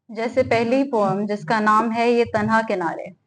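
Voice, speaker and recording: A woman's fairly high voice holds a fairly even intonation. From Pakistan, Sukkur. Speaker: poet. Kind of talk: speech at literary event; poetry reading at literary event.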